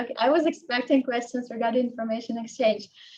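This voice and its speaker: A woman's high-pitched voice with a dark, mellow tone, fairly even intonation and a very fast pace. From Ukraine. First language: Ukrainian and Russian. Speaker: tax consultant. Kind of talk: Q&A after a lecture. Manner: hesitant, many fillers.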